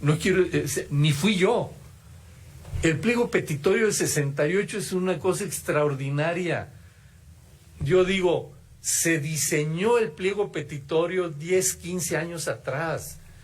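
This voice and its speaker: A man speaks very slowly at a high pitch, with ordinary pitch variation. The room echo is audible. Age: 70s. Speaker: former student activist, keynote speaker. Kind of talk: keynote lecture. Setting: auditorium with audience. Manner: halting, with false starts.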